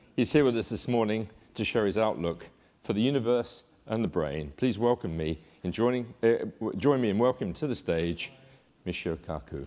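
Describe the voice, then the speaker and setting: Dark, mellow tone from a man with a British accent. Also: medium pitch for a man, lively intonation, moderate pace. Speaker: conference presenter introducing speaker. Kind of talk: speaker introduction.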